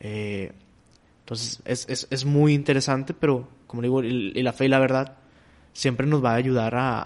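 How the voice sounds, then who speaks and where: At a moderate pace, a man talks in a medium-pitched voice. His intonation stays fairly even. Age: 20s. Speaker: seminarian. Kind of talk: casual chat. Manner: halting.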